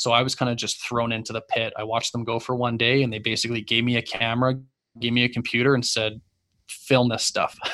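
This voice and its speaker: With a Canadian accent, a man speaks at a fairly quick pace and medium pitch in a bright, sharp tone on a very clean recording with a silent background. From Calgary, Canada. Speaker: golf podcast host and brand founder. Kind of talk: casual interview chat.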